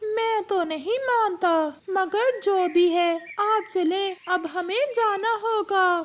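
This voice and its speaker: In a cartoonish character voice, someone talks at a very slow pace with an extremely high pitch. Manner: suspicious, protective.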